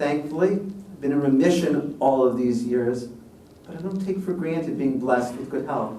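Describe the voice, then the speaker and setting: An American accent with ordinary pitch variation, with audible room echo. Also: man. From US Midwest, Chicago South Side. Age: 60s. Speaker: law professor and dean. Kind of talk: public lecture.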